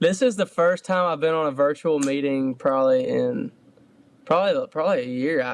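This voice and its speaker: With a Georgia accent, a man speaks fairly quickly and with lively intonation. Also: fairly high pitch for a man. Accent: Georgia twang. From US South, Georgia (Statesboro). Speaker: country singer. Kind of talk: casual interview. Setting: video call. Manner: halting.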